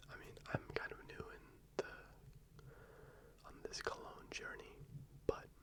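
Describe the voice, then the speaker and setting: A man whispers at a fairly slow pace. Noticeable background noise is present. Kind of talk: ASMR fragrance talk, casual to camera. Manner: whispered, soft-spoken.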